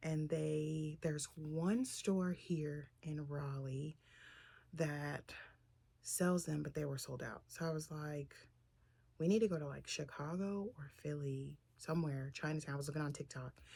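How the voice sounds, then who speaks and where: Her voice is very deep and low for a woman, dark and mellow in tone, and somewhat breathy. She speaks at a fairly slow pace with ordinary pitch variation. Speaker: vlogger. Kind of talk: casual vlog talk.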